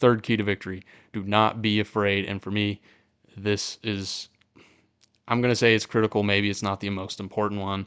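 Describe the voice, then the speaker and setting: Against a quiet background, a man speaks at a fairly quick pace and fairly low pitch. His intonation is monotone and flat, and the sound is dry and close with no echo. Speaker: sports podcast host. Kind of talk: live pre-game sports show. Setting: live stream. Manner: fast.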